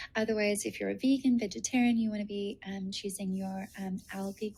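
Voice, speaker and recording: A woman's medium-pitched, somewhat breathy voice with a dark, mellow tone, monotone and flat, at a moderate pace. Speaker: nutritionist and naturopath. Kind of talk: webinar presentation. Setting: video call. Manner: hesitant with many fillers.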